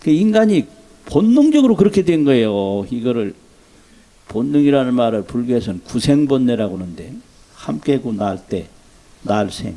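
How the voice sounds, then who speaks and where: At a moderate pace, a man talks in a medium pitch with very wide pitch swings and long, frequent pauses. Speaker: Buddhist monk. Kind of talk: dharma talk.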